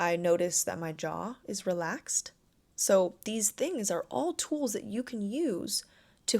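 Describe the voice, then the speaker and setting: A woman at a medium pitch speaks very slowly in a calm tone, with very wide pitch swings, in a very clean recording with a silent background. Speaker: life coach. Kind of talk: self-help podcast talk. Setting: seated, recording. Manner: measured pace.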